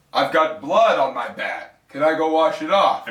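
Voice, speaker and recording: At a moderate pace, the man delivers his lines in a put-on character voice. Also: fairly high pitch for a man. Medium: comedy sketch. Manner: casual, cheerful.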